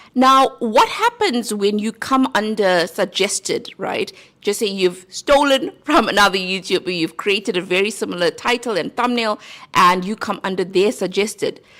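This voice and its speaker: Lively intonation marks this speaker with a South African accent, talking at a moderate pace. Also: woman. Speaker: YouTube growth coach. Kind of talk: tutorial.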